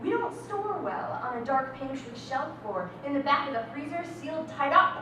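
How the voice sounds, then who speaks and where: Over noticeable background noise, a woman speaks in a raised, projected, high voice at a moderate pace. Her pitch swings very widely, and she leaves hardly any pauses. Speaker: slam poet. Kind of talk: spoken word slam poem performed live.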